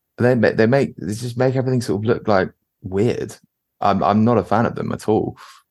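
The speaker moves at a fairly quick pace. Their intonation stays fairly even. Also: man, medium pitch for a man. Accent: London. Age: 20s. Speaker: composer and street photographer. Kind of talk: casual interview.

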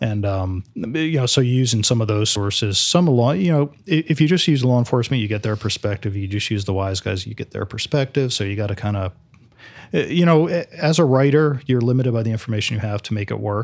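With an American accent, a man in a plain, everyday voice speaks at medium pitch and a fairly quick pace, his intonation lively, on a very clean recording with a silent background. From New Jersey. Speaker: author and crime historian. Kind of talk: interview.

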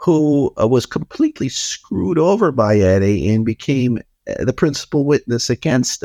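This man has a New York accent, a medium pitch and a dark, mellow tone. His intonation is lively at a moderate pace, and the sound is dry and close with no echo. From New York City, the Bronx. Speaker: investigative journalist and author. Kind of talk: interview.

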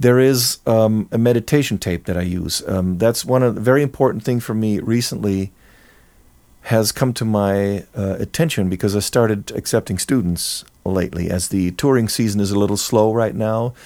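A man speaks with a German accent in a dark, mellow tone and a fairly low pitch. He keeps a moderate pace with ordinary pitch variation. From Germany, near Cologne. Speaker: jazz musician and composer. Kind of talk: casual interview.

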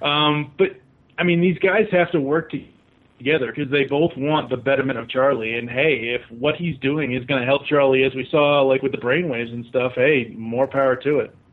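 A man talks with an American accent at a fairly quick pace and a fairly high pitch. He has an ordinary speaking voice. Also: ordinary pitch variation. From Boston, Massachusetts. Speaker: fan caller. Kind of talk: casual chat. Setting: phone call.

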